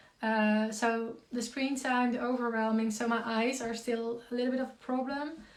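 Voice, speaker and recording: A woman with a Dutch accent speaks at a fairly slow pace. Her pitch is fairly high and her intonation monotone and flat. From Netherlands. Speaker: concussion coach and community founder. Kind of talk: live Q&A. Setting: Instagram live stream. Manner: halting with many fillers.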